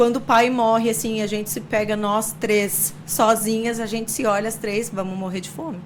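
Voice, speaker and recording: Fairly high-pitched, a woman speaks at a moderate pace through audible room echo and noticeable background noise. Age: 40s. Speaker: entrepreneur. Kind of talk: interview.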